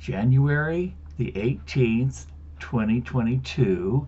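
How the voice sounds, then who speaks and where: Very slowly, a man with a medium-pitched, somewhat breathy voice speaks with very wide pitch swings. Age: 70s. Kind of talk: casual to-camera introduction; reading aloud. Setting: home video. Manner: hesitant, with filler words.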